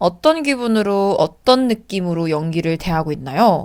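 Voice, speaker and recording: Calm in tone, a woman speaks at a very slow pace and medium pitch with lively intonation. The recording is very clean, with a silent background. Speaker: actress and vlogger. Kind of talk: casual Q&A vlog.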